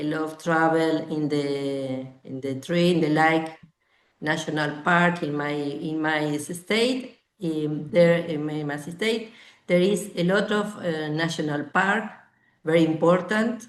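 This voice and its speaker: A woman's very deep, low voice with a Spanish accent, at a very slow pace, with audible room echo. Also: ordinary pitch variation. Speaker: language student. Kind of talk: class conversation practice. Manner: halting, many hesitations.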